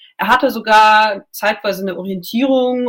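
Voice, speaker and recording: A woman speaks at a moderate pace. Her pitch sits in the medium range, with ordinary pitch variation. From Germany. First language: Russian (speaking German). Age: 20s. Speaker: journalist. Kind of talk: radio interview.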